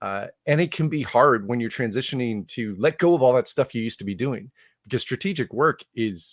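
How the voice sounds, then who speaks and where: A man with a slight Canadian accent speaks at a medium pitch and a fairly quick pace, his intonation lively. The recording is very clean and dry, with a close sound, no echo, and a silent background. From Canada, Ottawa. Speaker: conference speaker on leadership. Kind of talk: conference talk. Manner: casual, with frequent 'uh' fillers and restarts.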